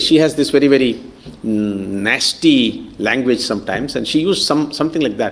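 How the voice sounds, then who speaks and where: A man speaks at a moderate pace with a Kannada accent and a fairly high pitch. Audible room echo surrounds his voice. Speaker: professor. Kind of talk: lecture. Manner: hesitant, many fillers.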